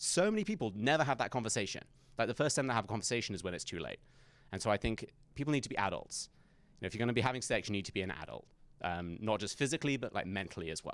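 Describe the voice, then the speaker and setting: A man with an English accent talks at a very fast pace, his medium-pitched voice full of lively intonation, on a very clean recording with a silent background. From England. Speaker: conservative commentator. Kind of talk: campus talk Q&A. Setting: university event with audience.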